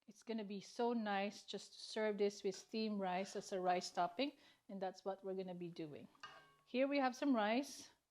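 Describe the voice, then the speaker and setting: A woman speaks at a medium pitch and moderate pace with ordinary pitch variation. Her loudness swings widely, and music plays in the background. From Philippines. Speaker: cooking channel host. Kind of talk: cooking tutorial.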